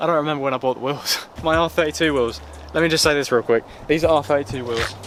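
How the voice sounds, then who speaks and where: A man with a British accent, at a very fast pace and fairly high pitch, over noticeable background noise. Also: ordinary pitch variation. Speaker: car vlogger. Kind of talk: casual walkthrough vlog.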